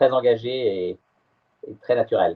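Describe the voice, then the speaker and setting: A man speaks at a fairly slow pace. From France, Brittany (Morbihan). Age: 60s. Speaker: sailor. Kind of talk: interview. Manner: halting, many hesitations.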